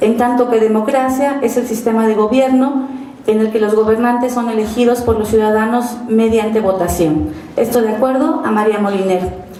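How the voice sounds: A woman's fairly high-pitched voice with a dark, mellow tone, few pauses and audible room echo. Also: fairly even intonation, moderate pace.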